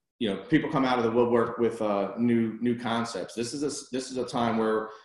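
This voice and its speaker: Amid audible room echo, a man speaks at a fairly quick pace with fairly even intonation. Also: medium pitch for a man. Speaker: commercial real estate advisor. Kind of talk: webinar presentation. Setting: video conference. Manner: fast.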